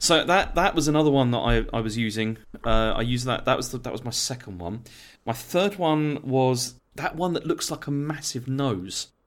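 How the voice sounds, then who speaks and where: An unremarkable speaking voice from a man at medium pitch, moderate in pace with lively intonation. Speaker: gaming podcaster. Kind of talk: casual chat.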